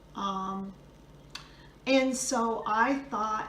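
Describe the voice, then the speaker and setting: Amid noticeable background noise and audible room echo, a woman of medium pitch talks with fairly even intonation. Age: 60s. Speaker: video blogger sharing divorce experience. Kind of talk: personal testimony. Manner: hesitant, many fillers.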